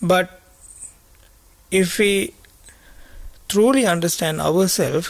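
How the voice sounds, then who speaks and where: A man's high voice at a very slow pace, with long, frequent pauses, ordinary pitch variation and noticeable background noise. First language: Sinhala. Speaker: Buddhist monk teacher. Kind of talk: dharma talk. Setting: meditation retreat. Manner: halting.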